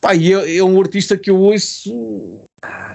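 Lively intonation marks a man speaking with a European Portuguese accent. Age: 50s.

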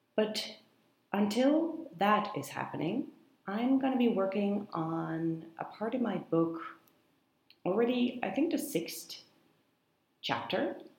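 A woman with a fairly high voice speaks at a very slow pace, with long, frequent pauses and very wide pitch swings. Audible room echo surrounds her. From Netherlands. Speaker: podcast host and writer. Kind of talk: casual monologue. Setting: office in a coworking space.

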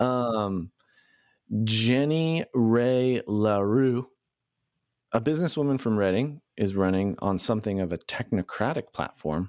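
Here a man has an ordinary speaking voice at a medium pitch. His intonation is lively and his pace fairly slow. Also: very even loudness, dry, close sound with no echo, very clean recording, silent background. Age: 30s. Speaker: podcast host and newspaper editor. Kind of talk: casual chat; interview.

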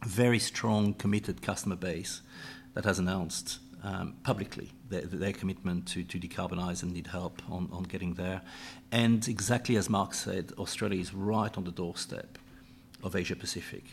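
A moderate pace with fairly even intonation. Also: man, very deep, low pitch for a man. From Europe. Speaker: energy company executive. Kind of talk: panel discussion. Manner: halting, many repetitions and fillers.

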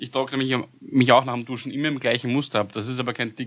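A man speaks at a fairly quick pace. The recording is very clean with a silent background. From Vienna, Austria. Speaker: podcast guest. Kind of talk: casual chat.

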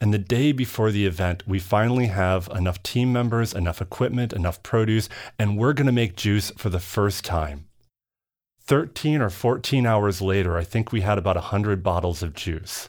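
A man with an American accent and a plain, everyday voice at a moderate pace, in a very clean recording with a silent background. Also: fairly low pitch for a man, ordinary pitch variation. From Minnesota. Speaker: company founder. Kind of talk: interview. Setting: studio.

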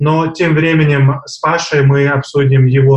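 A man's fairly high, somewhat breathy voice in a monotone, flat intonation. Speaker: podcast co-host. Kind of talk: podcast discussion.

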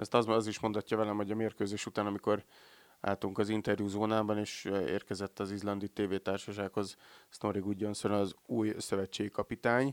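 A man at a fairly quick pace in monotone, flat intonation, with a dry, close sound, no echo, and a very clean recording over a silent background. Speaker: sports podcast host. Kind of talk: casual sports discussion. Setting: in-person recording, sitting face to face.

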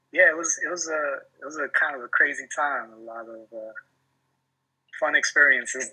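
A man speaks with a New York accent. His loudness swings widely, and he takes long, frequent pauses. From New York City, Washington Heights, Guatemalan family. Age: 30s. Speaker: hip hop artist. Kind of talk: casual interview. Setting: video call.

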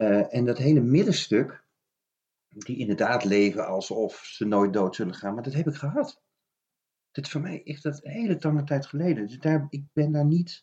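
With a dark, mellow tone and a somewhat breathy quality, this man speaks at a fairly high pitch with lively intonation. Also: moderate pace. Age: 50s. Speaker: children's book author. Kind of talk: casual chat.

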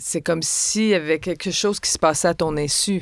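An unremarkable speaking voice from a woman, fairly low in pitch and at a moderate pace, on a very clean recording with a silent background. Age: 60s. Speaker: actress and stage director. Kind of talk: interview conversation.

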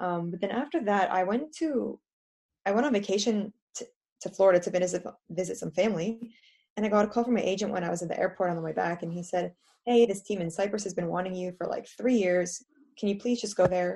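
Talking at a very fast pace with an American accent, a woman has a dark, mellow tone and ordinary pitch variation. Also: medium pitch for a woman. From US, New Jersey. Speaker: professional footballer. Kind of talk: interview.

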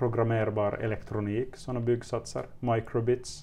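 Speaking with a Finland-Swedish accent, a man talks at a fairly slow pace and medium pitch. His intonation is monotone and flat. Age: 30s. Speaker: teacher. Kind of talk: interview. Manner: hesitant, repeats words.

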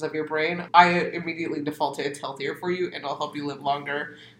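A woman's fairly low, fairly quick voice in an American accent, with fairly even intonation over noticeable background noise. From US Southwest desert, Arizona. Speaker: poet. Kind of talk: casual chat; poetry reading.

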